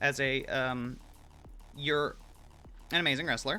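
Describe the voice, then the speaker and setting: This man has a medium pitch and a bright, sharp tone. He talks at a fairly slow pace. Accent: slight Georgia. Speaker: streamer. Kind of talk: casual chat. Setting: live stream.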